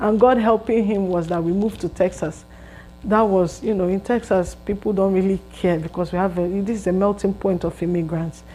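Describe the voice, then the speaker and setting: Over music in the background, a woman with a Nigerian accent talks at a fairly quick pace, her medium-pitched voice keeping a fairly even intonation. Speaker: vlogger. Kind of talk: casual storytelling monologue.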